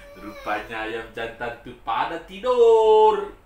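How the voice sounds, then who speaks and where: A man speaks, and room echo is audible. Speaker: storyteller. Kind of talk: storytelling to a child. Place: home room. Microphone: camera far.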